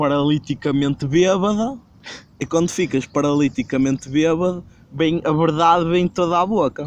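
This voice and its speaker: A man in a European Portuguese accent with ordinary pitch variation. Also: fairly high pitch for a man, moderate pace, very even loudness. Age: 20s. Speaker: podcast host. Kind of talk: casual chat.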